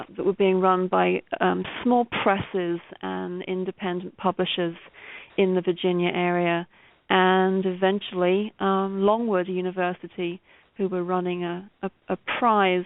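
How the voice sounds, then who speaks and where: With a British accent, a woman speaks at a medium pitch and a fairly slow pace in a monotone, flat intonation. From Britain. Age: 50s. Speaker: novelist and poet. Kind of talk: interview. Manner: hesitant, many fillers and repeats.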